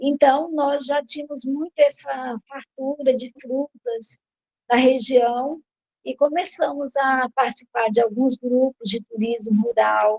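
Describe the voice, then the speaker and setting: Very slowly, a woman speaks at a high pitch with fairly even intonation, her voice recorded dry and close with no echo. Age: 60s. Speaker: family farmer and tourism entrepreneur. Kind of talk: personal presentation.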